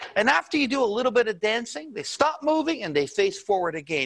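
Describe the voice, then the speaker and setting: This man's high voice moves at a fairly quick pace and swings very widely in pitch. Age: 60s. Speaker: presenter. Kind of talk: sales pitch. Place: studio. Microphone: lapel.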